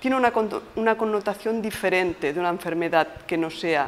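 A woman speaks with lively intonation at a fairly slow pace. Light background noise can be heard. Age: 50s. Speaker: palliative care nurse. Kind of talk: interview monologue. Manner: halting. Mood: calm, explanatory. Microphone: lapel.

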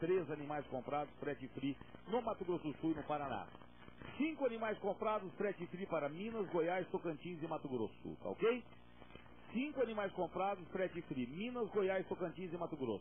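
A man's high-pitched, upbeat, cheerful voice with lively intonation at a moderate pace, over light background noise. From Brazil. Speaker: rural auctioneer. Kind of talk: auctioneer announcing sale terms, then opening the auction. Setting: live auction event with an audience. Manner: salesman-like, upbeat, cheerful, addressing the crowd as friends. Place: studio. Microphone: handheld.

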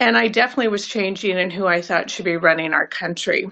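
A woman speaks with an American accent and ordinary pitch variation against a quiet background. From California. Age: 60s. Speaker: voter giving political testimonial. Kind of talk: testimony. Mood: earnest, regretful. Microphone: phone near.

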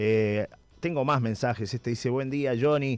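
Someone speaks fairly quickly with a Uruguayan accent. The intonation is fairly even, and the recording is very clean with a silent background. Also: man. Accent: Uruguayan Spanish (rioplatense). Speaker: radio host. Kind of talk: radio interview; reading listener messages. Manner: halting, with repeated words.

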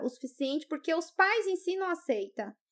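A woman's speech rises and falls in a lively way, with little sound behind her. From Brazil, Rondônia. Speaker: YouTuber. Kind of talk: casual chat. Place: studio. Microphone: studio mic.

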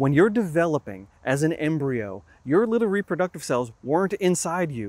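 A man speaks with very wide pitch swings. The sound is dry, with no echo. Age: 50s. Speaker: science educator. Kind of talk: educational talk. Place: open country. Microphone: lapel.

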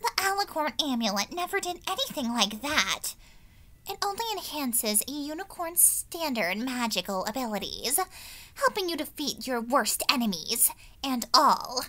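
A female-sounding voice puts on a character voice at a high pitch. Light background noise can be heard. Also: moderate pace. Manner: scornful, dismissive, haughty.

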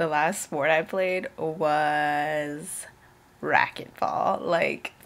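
This woman has a very deep, low pitch. Her intonation is fairly even. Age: 20s. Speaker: YouTuber, college student; vlogger. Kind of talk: casual vlog Q&A. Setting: at home in her apartment. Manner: casual, frequent fillers. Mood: cheerful, chatty. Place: home room. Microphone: webcam.

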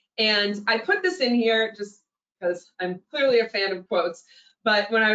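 Backed by a quiet background with audible room echo, a woman speaks at a moderate pace with fairly high pitch. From New England. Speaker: general manager of a lodging booking website. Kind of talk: webinar presentation. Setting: online webinar. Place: home room. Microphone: video call.

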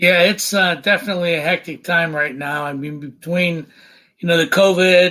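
The recording is very clean with a silent background. A man with an American accent talks at a moderate pace, his high-pitched voice bright and sharp. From northeastern Ohio (Youngstown area). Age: 60s. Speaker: county commissioner. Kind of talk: podcast interview. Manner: hesitant, many fillers.

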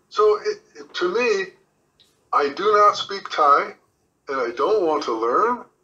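A man is heard speaking over music in the background. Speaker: retiree. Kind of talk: interview.

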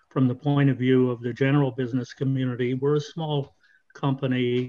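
The speaker is a man. He delivers everything in a monotone, flat intonation. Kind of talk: meeting contribution. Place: home room. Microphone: video call.

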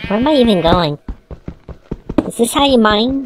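This is a put-on character voice at a fairly high pitch. It moves at a moderate pace. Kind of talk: comedic let's play commentary. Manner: cartoonish.

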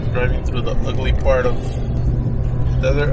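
With music in the background, a man speaks at a fairly slow pace in a dry sound with no echo. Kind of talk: casual vlog chat. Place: car. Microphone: phone near.

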